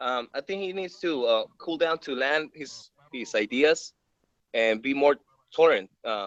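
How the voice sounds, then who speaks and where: A man with a Spanish accent speaks at a fairly high pitch in a dry, close sound with no echo. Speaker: actor. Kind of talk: casual chat. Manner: halting, repeats words.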